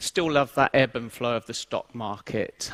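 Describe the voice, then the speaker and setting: A man with an English accent in a dry, close sound with no echo. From England. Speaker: IT transformation lead, conference speaker. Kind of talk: conference talk. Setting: stage with audience.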